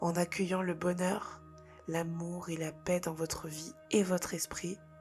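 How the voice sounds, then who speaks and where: With music in the background, a woman speaks very slowly at a fairly low pitch, her intonation monotone and flat. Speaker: spirituality and personal development content creator. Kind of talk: guided meditation-style spiritual talk to camera. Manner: soft-spoken, whispered, calm.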